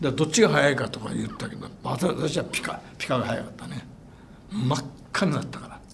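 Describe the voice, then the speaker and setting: Amid noticeable background noise and audible room echo, a man talks at a fairly quick pace, his fairly high pitch varying in an ordinary way and his loudness swinging widely. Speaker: atomic bomb survivor. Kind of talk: testimony.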